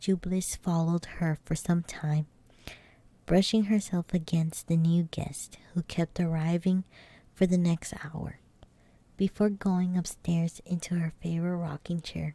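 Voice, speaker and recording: A woman's whisper, soft-spoken and somewhat breathy, at a fairly slow pace. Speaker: ASMR streamer and vtuber. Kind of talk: ASMR bedtime story reading. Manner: soft-spoken, whispery.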